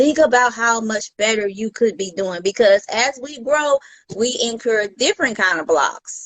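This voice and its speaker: In a plain, everyday voice, a woman with an American accent talks at a fairly slow pace with a fairly high pitch and lively intonation, the sound dry and close with no echo. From US South. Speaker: mindset coach. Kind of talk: casual interview.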